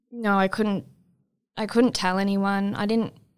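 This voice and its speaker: At a fairly quick pace, a woman talks in a medium-pitched voice. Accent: Australian. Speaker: abuse survivor, nursing student. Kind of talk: personal testimony interview.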